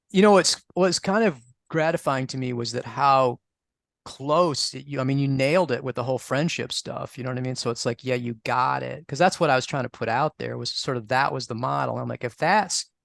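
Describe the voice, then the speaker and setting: A man with a plain, everyday voice and an American accent talks at a fairly quick pace in a medium pitch with ordinary pitch variation, the sound dry and close with no echo. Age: 60s. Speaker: astrologer and author on astrological magic. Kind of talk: interview. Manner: conversational with many fillers and restarts.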